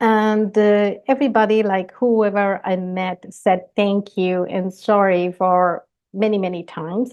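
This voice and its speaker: A woman talks at a fairly slow pace with hardly any pauses, against a quiet background. Her pitch is medium and her intonation fairly even. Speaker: engineering director giving a talk. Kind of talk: conference talk. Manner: slow, deliberately paced.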